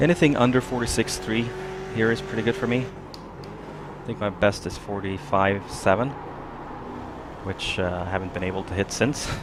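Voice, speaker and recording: A quiet man with a medium pitch talks at a moderate pace with ordinary pitch variation and long, frequent pauses, against noticeable background noise. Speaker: sim racing video creator. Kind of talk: live gameplay commentary. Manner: quiet, focused.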